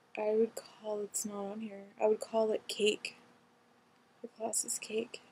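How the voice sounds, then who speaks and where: In an American accent, a woman with fairly high pitch talks in a dark, mellow tone at a fairly slow pace. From California. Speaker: vlogger. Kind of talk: reading aloud quiz questions with casual comments; casual commentary. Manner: casual, hesitant with ums.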